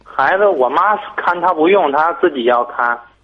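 A man uses a normal speaking voice at a moderate pace, his pitch varying in an ordinary way. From Tangshan, Hebei, China. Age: 20s. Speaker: caller. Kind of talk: phone-in advice call. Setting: phone call.

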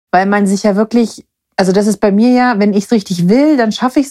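At a fairly quick pace, a woman talks in a medium pitch with a dark, mellow tone, and the sound is dry and close with no echo. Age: 30s. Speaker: podcast co-host. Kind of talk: casual chat.

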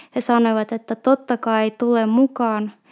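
In a Russian accent, a woman speaks very slowly with a fairly high pitch, a dark, mellow tone and monotone, flat intonation, her sound dry and close with no echo on a very clean recording over a silent background. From Russia, Petrozavodsk. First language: Russian (speaking Finnish). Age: 30s. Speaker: shop assistant. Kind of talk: personal testimony. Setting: recorded on location in Lappeenranta.

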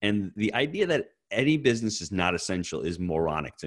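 A man with an American accent speaks in a fairly low voice with very wide pitch swings, on a very clean recording with a silent background. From US Northeast. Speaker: real estate investor and coach. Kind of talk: podcast interview.

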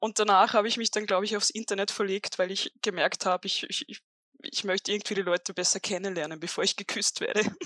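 The sound is dry and close with no echo. A speaker with an Austrian accent talks at a very fast pace with fairly even intonation. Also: woman, medium pitch for a woman. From Upper Austria. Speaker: author. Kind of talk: interview, storytelling.

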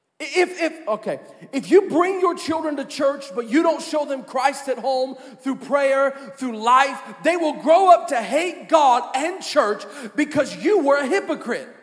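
Over noticeable background noise, the speaker has an animated tone and ordinary pitch variation. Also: man, extremely high pitch for a man. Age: 30s. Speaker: pastor. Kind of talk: sermon. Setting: church.

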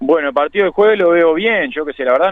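A man at a very fast pace. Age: 30s. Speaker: professional footballer. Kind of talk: radio phone interview.

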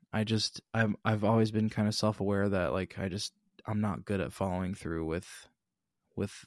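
A man with an ordinary speaking voice talks at a moderate pace in a fairly low pitch with fairly even intonation. The sound is dry and close, with no echo. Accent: American. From Billings, Montana. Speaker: podcast co-host, musician. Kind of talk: casual chat. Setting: remote, recorded apart.

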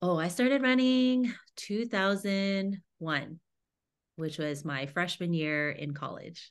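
A woman's fairly low voice with very wide pitch swings at a very slow pace, against a quiet background. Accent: American. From Houston, Texas. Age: 40s. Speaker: runner and writer. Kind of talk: casual interview.

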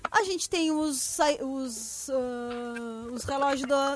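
Amid noticeable background noise, a woman with a southern Brazilian accent speaks in a high, animated voice with ordinary pitch variation. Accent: gaúcho Brazilian Portuguese. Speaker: podcast co-host. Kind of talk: casual chat.

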